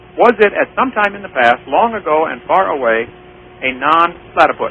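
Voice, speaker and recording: Over noticeable background noise, a man with a high voice and an American accent swings very widely in pitch and makes big swings in loudness. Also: moderate pace. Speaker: creationist lecturer and radio host. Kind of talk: radio call-in debate. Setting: radio studio.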